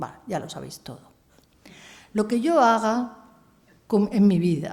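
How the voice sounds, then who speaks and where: A woman's somewhat breathy voice with a dark, mellow tone and medium pitch, at a fairly slow pace, with audible room echo. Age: 70s. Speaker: philosopher and feminist writer. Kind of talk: lecture.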